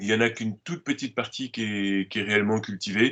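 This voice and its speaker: Moderate pace against a quiet background. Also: man. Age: 60s. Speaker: organic farmer. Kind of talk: interview. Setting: video call. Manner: halting, frequent hesitations.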